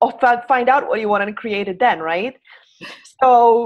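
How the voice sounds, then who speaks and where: A woman with a Polish accent at a moderate pace. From Poland. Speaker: hand analyst. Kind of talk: interview. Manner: halting.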